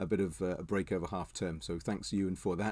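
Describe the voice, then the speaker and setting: Fairly low-pitched male voice, dark and mellow, with fairly even intonation at a fairly quick pace over a quiet background. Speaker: church pastor. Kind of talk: fervent prayer, spoken extempore to God. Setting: video recording for an online church service. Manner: earnest, hesitant with filler words. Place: home room. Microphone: webcam.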